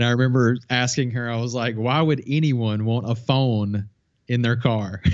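This man has an ordinary speaking voice with a medium pitch. He talks at a moderate pace with fairly even intonation. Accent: American. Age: 40s. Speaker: filmmaker and YouTube tutorial creator. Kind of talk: casual interview.

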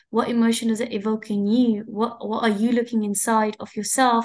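Against a quiet background, a woman with an ordinary speaking voice and a fairly high pitch talks at a moderate pace. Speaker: interviewer. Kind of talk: interview conversation. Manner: warm, encouraging.

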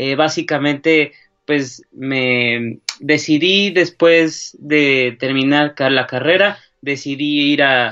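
A man speaks at a very slow pace with fairly even intonation. Music plays in the background. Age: 20s. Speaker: sports journalist. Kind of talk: casual chat.

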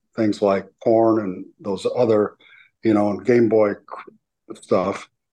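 Against a quiet background, a man with an American accent speaks at a fairly slow pace, his medium-pitched voice dark and mellow in tone, with monotone, flat intonation. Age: 70s. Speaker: bishop and army veteran. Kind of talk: casual interview chat.

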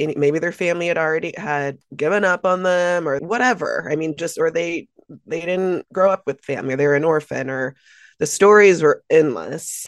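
A woman with a plain, everyday voice, fairly low pitch, moderate pace and ordinary pitch variation. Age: 40s. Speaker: community advocate. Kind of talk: interview conversation.

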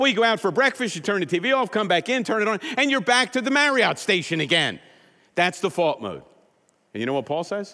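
With very wide pitch swings, a man speaks in a high-pitched, raised and projected voice with a bright, sharp tone. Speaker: pastor. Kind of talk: sermon. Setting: church. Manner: loud.

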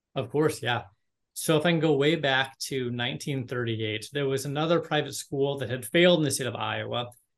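Fairly quick and fairly high-pitched, a man talks in an unremarkable speaking voice with ordinary pitch variation. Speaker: university admissions director. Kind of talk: casual interview.

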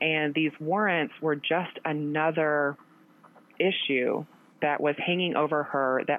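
A woman's very deep, low voice with an American accent, fairly even intonation and a fairly slow pace. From US Midwest, southeastern Missouri (boot heel). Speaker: lawyer. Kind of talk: interview.

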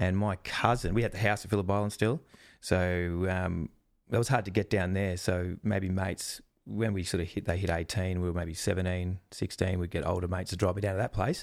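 A man with a very deep, low voice and an Australian accent talks at a fairly quick pace with fairly even intonation, in a very clean recording with a silent background. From Australia, Melbourne. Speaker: wildlife presenter and zookeeper. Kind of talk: casual chat.

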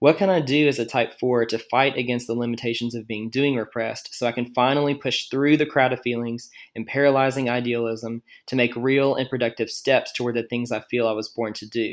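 A man speaks in a plain, everyday voice at medium pitch. His pace is fairly quick and his intonation fairly even. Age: 20s. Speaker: listener leaving voicemail. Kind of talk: voicemail message.

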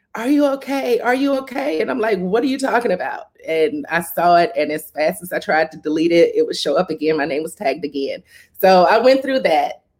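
Speaking at a fairly quick pace with a Southern US accent, a woman uses a fairly high pitch and very wide pitch swings. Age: 40s. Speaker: HIV advocate and organizer. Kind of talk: interview conversation.

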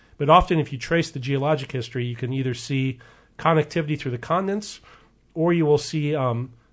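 Somewhat breathy speech in an American accent at a fairly quick pace, against a quiet background. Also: man. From US West Coast, Oregon. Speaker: evolutionary biologist. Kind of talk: radio interview. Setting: radio studio.

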